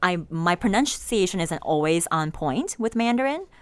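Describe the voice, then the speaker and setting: Noticeable noise sits in the background. A woman talks with lively intonation. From Chicago area, US, Chinese immigrant family. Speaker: real estate agent, association chair. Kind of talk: casual podcast interview.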